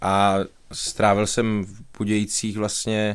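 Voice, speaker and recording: On a very clean recording with a silent background, a man speaks in a fairly low, flat monotone. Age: 20s. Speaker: stage actor. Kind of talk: radio interview. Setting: radio studio.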